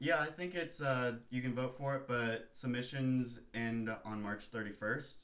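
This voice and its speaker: With a plain, everyday voice, a man talks at a fairly slow pace and medium pitch, showing ordinary pitch variation and hardly any pauses. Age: 20s. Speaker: surfer and photographer. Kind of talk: casual chat.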